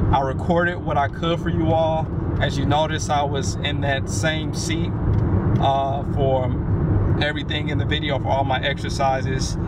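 A man's voice comes through dry, with no echo, under loud background noise. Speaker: fitness vlogger. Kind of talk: casual vlog chat. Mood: relieved, upbeat. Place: car.

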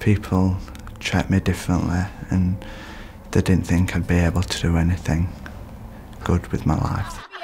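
With noticeable background noise behind him, a man with a Yorkshire accent speaks at a moderate pace in a very deep, low, monotone, flat voice, leaving long, frequent pauses. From northern England, Leeds. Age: 20s. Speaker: performing arts student and campaigner. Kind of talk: interview; documentary narration.

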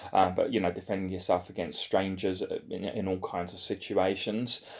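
The background is quiet. A man speaks at a fairly low pitch. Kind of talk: casual vlog chat. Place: home room. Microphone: phone near.

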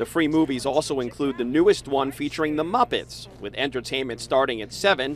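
A man talks at a fairly quick pace with hardly any pauses. Music plays in the background. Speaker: TV news reporter. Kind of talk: TV news report. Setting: outdoors.

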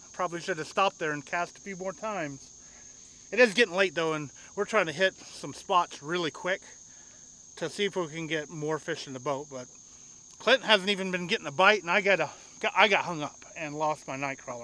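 Delivered at a fairly quick pace, this voice has big swings in loudness and ordinary pitch variation, with a dry sound and no echo. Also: man. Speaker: fishing vlogger. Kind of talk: casual vlog chat. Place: boat.

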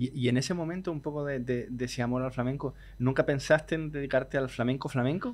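The man talks very quickly. His intonation is fairly level throughout. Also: medium pitch for a man. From Chile. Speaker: podcast host and flamenco guitar teacher. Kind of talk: casual interview chat. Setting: hotel.

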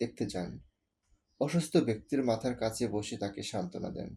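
A man talks in a plain, everyday voice. His intonation is lively. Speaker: author reading his own story. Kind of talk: short story reading.

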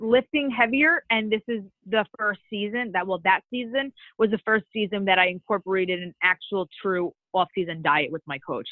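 A woman with an ordinary speaking voice talks at a medium pitch and a moderate pace. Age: 20s. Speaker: bikini fitness competitor. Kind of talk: interview.

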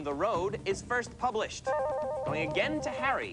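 The speech moves at a moderate pace over loud music in the background. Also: man. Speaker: quiz show host. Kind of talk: game show hosting. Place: studio.

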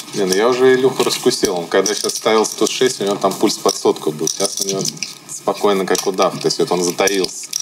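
A man at fairly low pitch with ordinary pitch variation and a fairly quick pace, over loud background noise. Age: 30s. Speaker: poker player; show host. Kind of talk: casual chat. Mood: relaxed, joking. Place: studio. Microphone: lapel.

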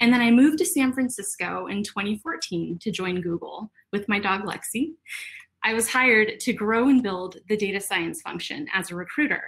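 At a moderate pace, a woman speaks with lively intonation and a fairly high pitch. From Texas. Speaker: HR professional. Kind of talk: virtual conference talk. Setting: video call. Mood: warm, smiling. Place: home room.

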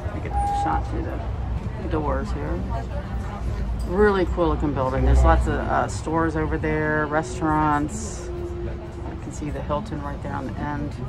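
Long, frequent pauses break up the speech while clear music plays in the background. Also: moderate pace. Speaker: travel vlogger. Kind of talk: casual tour commentary. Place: bus. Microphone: phone near.

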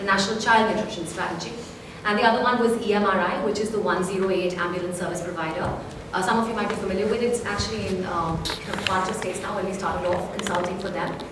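A woman talks at a very fast pace over loud background noise. Room echo is audible throughout. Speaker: guest. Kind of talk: interview answer. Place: hall.

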